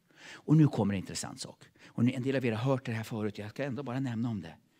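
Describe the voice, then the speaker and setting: Against a quiet background, a dark, mellow voice talks at a very fast pace. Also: man. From Sweden. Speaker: preacher. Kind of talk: sermon. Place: church. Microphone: handheld.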